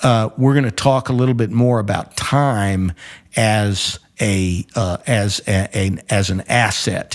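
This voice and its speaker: This man speaks at a very slow pace. His voice sits fairly low, with ordinary pitch variation. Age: 70s. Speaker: retired judge, show host. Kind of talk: casual educational discussion. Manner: halting, repeats words.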